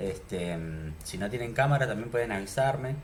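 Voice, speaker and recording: A man's voice rises and falls in very wide pitch swings. Audible room echo surrounds it. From Argentina, Neuquén. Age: 30s. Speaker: programming teacher. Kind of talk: online class. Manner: casual, with filler words.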